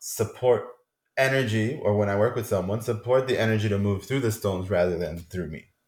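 A man talks fairly fast in a somewhat breathy voice. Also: fairly low pitch for a man, ordinary pitch variation. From Colombia. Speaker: shamanic and tantric healer. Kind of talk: casual interview chat.

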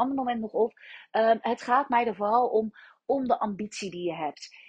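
A somewhat breathy woman, fairly high in pitch, at a moderate pace with ordinary pitch variation. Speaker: business mentor. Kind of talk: solo podcast monologue.

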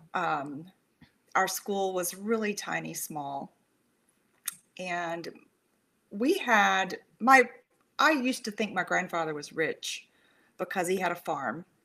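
With a Texan accent, a woman talks at a very slow pace with long, frequent pauses, medium pitch, lively intonation and a bright, sharp tone on a very clean recording with a silent background. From rural Texas. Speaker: suicide prevention counselor. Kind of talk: interview.

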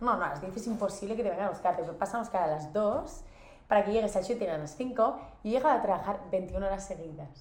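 A woman talks at a fairly quick pace in a medium pitch, with lively intonation and an animated tone. The room echo is audible, and there is noticeable background noise. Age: 20s. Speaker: model. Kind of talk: casual chat. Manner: fast, animated.

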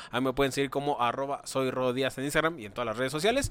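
Here a man speaks at a very fast pace. His pitch is fairly high and his intonation fairly even. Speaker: podcast co-host. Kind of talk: casual comedic chat.

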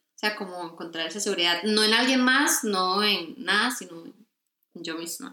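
A woman with a normal speaking voice at a medium pitch, moderate pace, lively intonation and big swings in loudness. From Costa Rica. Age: 20s. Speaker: graphic design student. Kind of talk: casual interview.

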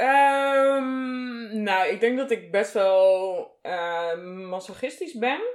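Speaking very slowly, a woman uses a fairly high pitch and lively intonation. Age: 30s. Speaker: guest from the BDSM scene. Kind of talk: casual interview.

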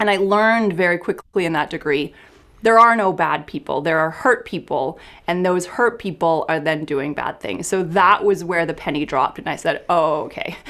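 On a very clean recording with a silent background, a woman with a Canadian accent speaks at a moderate pace in a plain, everyday voice, fairly low in pitch, with ordinary pitch variation. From small town Canada. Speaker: clinical psychologist. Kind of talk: casual interview.

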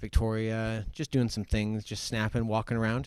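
A man speaks in an ordinary speaking voice, with medium pitch at a moderate pace. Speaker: podcast guest. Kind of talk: casual chat.

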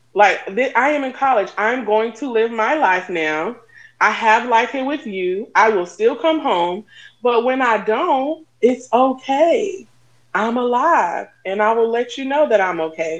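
An ordinary speaking voice delivers the words at a fairly slow pace. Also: woman, fairly high pitch for a woman. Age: 40s. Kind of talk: casual chat.

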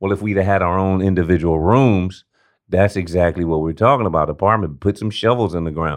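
An animated man with a very deep, low pitch and an American accent, over a quiet background. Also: ordinary pitch variation, fairly quick pace. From South Central Los Angeles. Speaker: homeless rights advocate. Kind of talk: interview.

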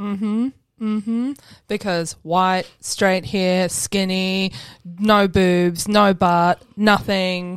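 A very slow delivery with fairly even intonation, on a very clean recording over total silence. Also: woman, medium pitch for a woman. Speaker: podcast host. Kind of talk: casual chat. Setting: studio.

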